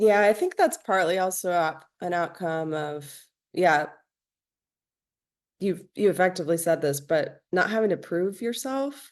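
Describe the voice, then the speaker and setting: A plain, everyday voice with an American accent, a woman at a medium pitch talks at a fairly slow pace with ordinary pitch variation against a quiet background. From New Jersey, near New York City. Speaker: musician and dancer. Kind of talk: casual interview chat.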